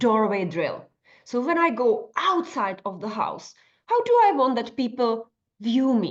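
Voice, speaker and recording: A woman's fairly high, lively voice with a non-native accent at a fairly slow pace. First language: not English. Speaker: nutritionist and life coach. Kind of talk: workshop tutorial. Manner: conversational with fillers.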